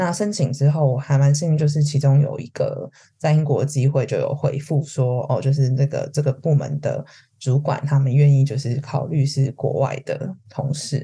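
Her tone dark and mellow and somewhat breathy, a woman speaks at a moderate pace with a very deep, low pitch and fairly even intonation. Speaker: HR consultant. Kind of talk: casual interview chat.

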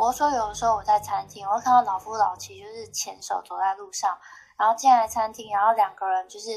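A woman with a fairly high pitch talks at a fairly quick pace in a monotone, flat intonation, her loudness swinging widely. The recording is very clean, with a silent background. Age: 30s. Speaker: podcast guest sharing dating stories. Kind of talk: casual chat.

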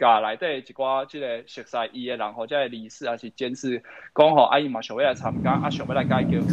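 This is a plain, everyday voice at a fairly quick pace. The intonation is fairly even, while the loudness swings a lot. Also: man, medium pitch for a man. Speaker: local party chairman. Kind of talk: political talk show discussion. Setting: livestream. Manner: code-switching between Hokkien and Mandarin.

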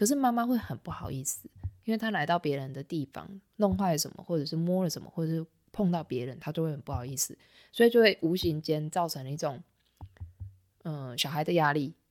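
A woman with a very deep, low pitch and lively intonation, fairly quick pace, big swings in loudness, on a very clean recording with a silent background. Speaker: art teacher. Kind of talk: casual chat.

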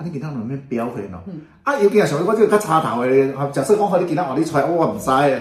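Very fast speech from a man, fairly high in pitch, with very wide pitch swings, big swings in loudness and noticeable background noise. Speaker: co-host of a Taiwanese-language talk show. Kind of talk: casual chat.

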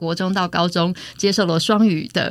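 A woman with a fairly low pitch speaks in an unremarkable speaking voice. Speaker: university English lecturer. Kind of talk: interview.

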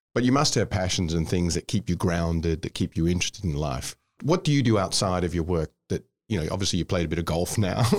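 In a very clean, dry and close recording with a silent background and no echo, a man with an Australian accent speaks very fast in a very deep, low pitch with lively intonation. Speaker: podcast host. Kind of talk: interview. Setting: studio.

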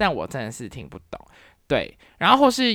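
On a very clean recording with a silent background, a woman with a Taiwanese accent speaks at a moderate pace in an animated tone, with very wide pitch swings and vocal fry. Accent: Taiwanese Mandarin. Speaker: podcast host, university professor. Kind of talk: casual solo talk.

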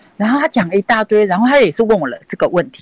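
In a dry, close sound with no echo, a woman speaks at a very fast pace and medium pitch with very wide pitch swings. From Taiwan, Kaohsiung. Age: 60s. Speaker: dancer. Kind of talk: interview. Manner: halting.

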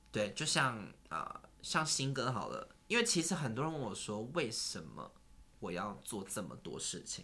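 A man takes his time, speaking rather slowly as the room's echo is clearly heard. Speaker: singer and entertainer. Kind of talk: casual chat.

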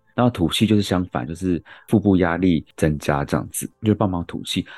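Music plays behind a man with a very deep, low pitch and lively intonation, who talks at a moderate pace in a dry, close sound with no echo. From Taiwan, Yilan. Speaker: medical doctor, co-host. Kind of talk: casual medical explanation.

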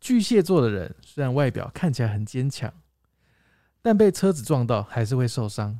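A man's medium-pitched voice with a dark, mellow tone and very wide pitch swings, in a very clean recording with a silent background. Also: moderate pace. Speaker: podcast co-host. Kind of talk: casual chat.

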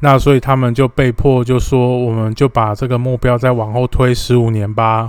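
A man's medium-pitched monotone, flat in intonation, at a moderate pace with hardly any pauses. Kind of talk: solo explainer monologue. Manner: frequent filler particles (哦).

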